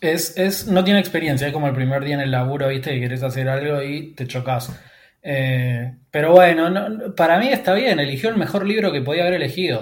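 A man talks in a somewhat breathy, fairly high voice. The room around him adds audible echo. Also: lively intonation. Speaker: podcast host. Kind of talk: casual chat.

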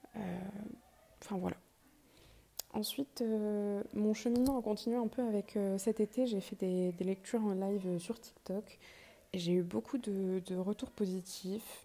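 A woman's medium-pitched, dark and mellow voice at a fairly slow pace, fairly even in intonation, with long, frequent pauses. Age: 20s. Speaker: podcast host, medical student. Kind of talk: casual monologue. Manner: halting.

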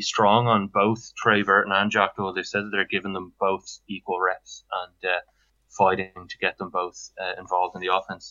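A man speaks with a Dublin accent. His pitch is fairly low. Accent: Dublin Irish. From Ireland, Dublin. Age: 30s. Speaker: fantasy football league owner. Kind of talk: casual chat.

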